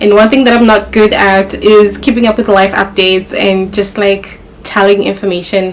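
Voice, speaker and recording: A woman talks at a moderate pace with a medium pitch, and noticeable noise sits in the background. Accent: Zimbabwean. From Zimbabwe, Kadoma and Harare. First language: Shona. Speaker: YouTuber. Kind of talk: casual sit-down vlog. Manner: casual, conversational.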